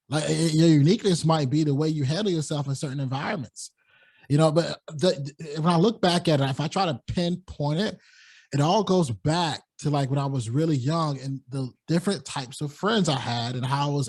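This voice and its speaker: Over a quiet background, a man with a fairly high pitch speaks at a fairly quick pace in a somewhat breathy voice. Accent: American. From US South, North Carolina. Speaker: podcaster. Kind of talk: interview conversation.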